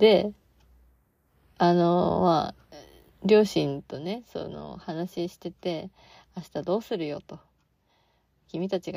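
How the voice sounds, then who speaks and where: A woman's fairly low voice shows vocal fry. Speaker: podcast host and part-time theatre actor. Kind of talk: casual solo podcast talk. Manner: low-energy; frequent fillers.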